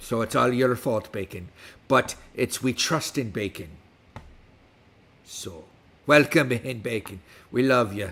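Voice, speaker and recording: A man's medium-pitched voice at a fairly slow pace, with ordinary pitch variation and long, frequent pauses, on a very clean recording with a silent background. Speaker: streamer and tabletop game advice host. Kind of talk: live stream chat and reading game content. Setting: live stream with chat. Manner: put-on pirate accent.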